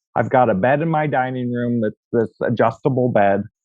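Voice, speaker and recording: Medium pitch from a male speaker, ordinary pitch variation, and a moderate pace. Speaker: realtor. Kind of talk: interview.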